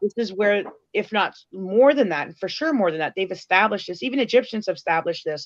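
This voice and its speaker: Lively intonation marks this very fast speech, recorded dry and close with no echo. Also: woman, medium pitch for a woman. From Canada. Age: 40s. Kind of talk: casual interview chat.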